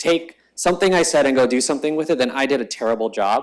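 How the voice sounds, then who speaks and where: A fairly quick pace with lively intonation. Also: man. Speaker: startup founder and conference speaker. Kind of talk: talk to a live audience. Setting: event stage with audience. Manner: fast; casual with fillers.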